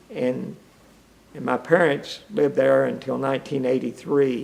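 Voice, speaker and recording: A man speaks in an Appalachian accent. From eastern Kentucky. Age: 70s. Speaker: retired-age mining engineer. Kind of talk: oral history interview. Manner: halting.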